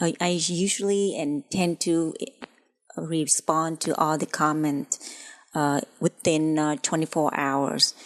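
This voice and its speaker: A woman with a non-native accent speaks at a very slow pace, with a very deep, low pitch and fairly even intonation. The sound is dry and close, with no echo. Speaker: cooking channel host. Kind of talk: tutorial. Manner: halting, many fillers.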